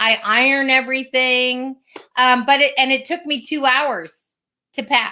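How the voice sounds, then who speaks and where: In a raised, projected voice with a bright, sharp tone, a woman speaks high in pitch with fairly even intonation at a fairly slow pace. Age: 60s. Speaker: podcast co-host, flow coach. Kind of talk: casual chat.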